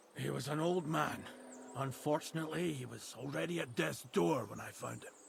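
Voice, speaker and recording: Raspy put-on character voice from a man at medium pitch and moderate pace, with big swings in loudness over clear background noise. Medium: video game. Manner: guarded, curt.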